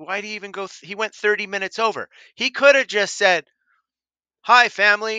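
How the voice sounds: A man talks at a fairly quick pace in a high register, his tone bright and sharp yet clear and smooth. The sound is dry and close, with no echo.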